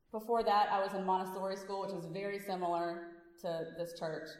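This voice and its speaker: A woman with a Louisiana accent speaks at a moderate pace, with audible room echo. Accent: Southern US (Louisiana). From Louisiana, US South. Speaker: physician and activist speaker. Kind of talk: speech to a congregation. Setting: church service with audience. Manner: animated.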